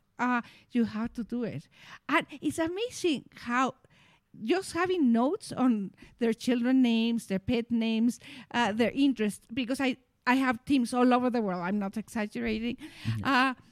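In a very clean recording with a silent background and a dry, close sound with no echo, a woman speaks at a high pitch with ordinary pitch variation at a moderate pace in a Mexican accent. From Mexico. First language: Spanish. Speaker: co-founder of personal development business, former English teacher. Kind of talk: casual conversational discussion.

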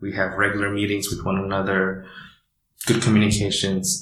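Audible room echo is present. The man's voice sits fairly low in pitch. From Indonesia. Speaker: startup founder. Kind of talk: interview. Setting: office.

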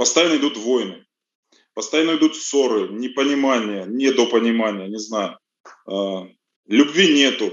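A man talks fairly slowly, leaving long, frequent pauses, his medium pitch moving with ordinary variation. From Russia, Rostov. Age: 40s. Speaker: auto mechanic. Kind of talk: interview. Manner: halting.

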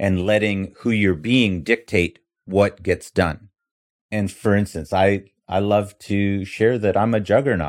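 An ordinary speaking voice with a Canadian accent, fairly even intonation and a fairly slow pace. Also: man, fairly low pitch for a man. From Canada, Toronto. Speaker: mortgage agent and real estate investor. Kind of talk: interview. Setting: video call.

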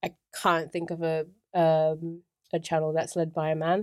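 A woman with an English accent speaks at a moderate pace in a very deep, low pitch and a monotone, flat intonation, on a very clean recording with a silent background. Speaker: YouTuber. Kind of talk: casual chat.

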